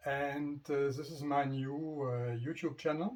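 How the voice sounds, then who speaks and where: A man's somewhat breathy, medium-pitched voice with a non-native accent. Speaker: motorcycle vlogger. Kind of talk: casual vlog introduction. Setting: home garage. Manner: halting, many fillers.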